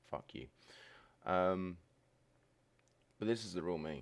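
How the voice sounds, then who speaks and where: The recording is very clean with a silent background, and the speech moves at a moderate pace with ordinary pitch variation. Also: man. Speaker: streamer. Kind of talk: personal vlog monologue. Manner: low-energy.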